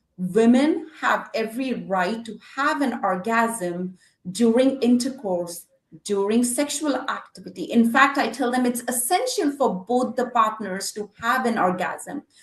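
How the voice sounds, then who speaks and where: A woman's high-pitched voice, fairly slow in pace, with lively intonation. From India. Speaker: physical therapist. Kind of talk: interview answer, health advice. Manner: direct.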